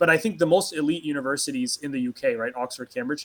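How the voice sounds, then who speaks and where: A man with an American accent speaks at a fairly quick pace and fairly high pitch, with lively intonation in a dry, close sound with no echo. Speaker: political activist. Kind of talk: interview.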